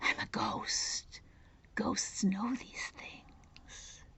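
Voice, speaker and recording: A woman is whispering. She uses a put-on character voice. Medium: read story. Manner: boastful, insistent.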